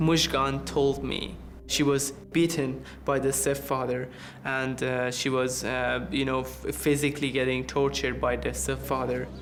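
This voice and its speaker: A man with an Iranian accent at a fairly slow pace, with audible room echo and noticeable background noise. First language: Persian. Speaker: refugee. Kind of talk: documentary interview.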